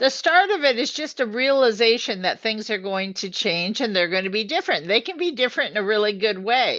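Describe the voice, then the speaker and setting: A woman speaks at a fairly quick pace with hardly any pauses, her fairly high voice swinging very widely in pitch. Her tone is bright and sharp against a quiet background. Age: 70s. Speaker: co-host of a women's health live show. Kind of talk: live video chat. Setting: live stream.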